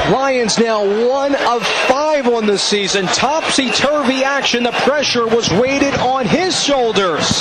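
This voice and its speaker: Against noticeable background noise, a man with an extremely high voice and ordinary pitch variation talks at a fairly slow pace, with hardly any pauses and very even loudness. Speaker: play-by-play announcer. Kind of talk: radio sports play-by-play.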